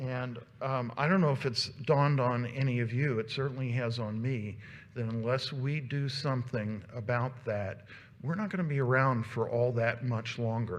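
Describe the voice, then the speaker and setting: A man speaks at medium pitch and a moderate pace with fairly even intonation, and room echo can be heard. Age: 60s. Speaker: volunteer organization leader giving a presentation. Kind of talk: conference presentation. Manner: halting, many fillers.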